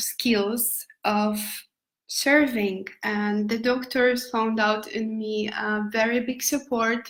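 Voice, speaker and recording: A fairly high-pitched woman's voice, monotone and flat, at a very slow pace. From Poland. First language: Polish. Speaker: nomad lifestyle vlogger. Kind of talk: live stream talk. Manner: halting.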